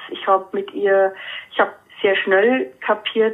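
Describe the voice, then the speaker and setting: A woman with a medium pitch speaks fairly slowly. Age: 40s. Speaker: animal communicator and painter. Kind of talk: casual interview.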